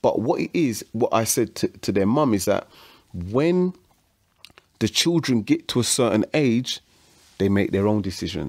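On a very clean recording with a silent background, a man keeps very even loudness while his pitch swings very widely, with long, frequent pauses. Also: medium pitch for a man, moderate pace. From London, Hackney. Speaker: musician and studio owner. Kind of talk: casual interview chat.

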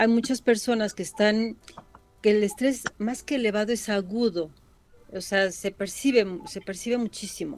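A woman with a fairly high pitch and ordinary pitch variation talks while music plays in the background. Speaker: psychologist. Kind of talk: radio interview.

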